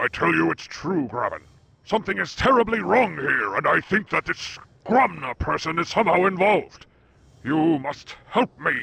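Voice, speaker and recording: A man puts on a character voice pitched high. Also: moderate pace. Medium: video game. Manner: blunt, skeptical.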